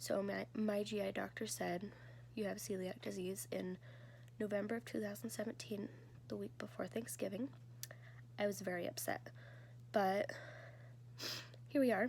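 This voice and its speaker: A woman's very deep, low, somewhat breathy voice at a moderate pace, very wide pitch swings, and long, frequent pauses. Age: 20s. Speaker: vlogger sharing health story. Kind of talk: personal testimony. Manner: casual, hesitant.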